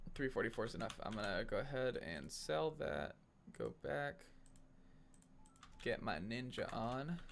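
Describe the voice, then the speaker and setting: The man mumbles at a fairly slow pace. He leaves long, frequent pauses. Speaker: gaming YouTuber. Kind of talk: gameplay commentary. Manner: hesitant, many fillers; mumbling.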